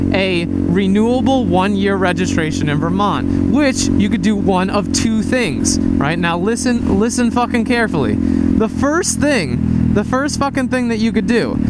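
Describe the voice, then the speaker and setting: Loud background noise surrounds a dry sound that has no echo. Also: moderate pace. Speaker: motovlogger. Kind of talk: casual vlog chat. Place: motorbike. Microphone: helmet.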